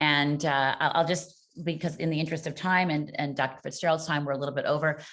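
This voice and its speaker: Her very deep, low pitch stays monotone and flat as this woman speaks at a very fast pace. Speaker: parent advocacy group cofounder and webinar moderator. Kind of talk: webinar interview moderation. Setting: online video webinar. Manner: halting, many fillers.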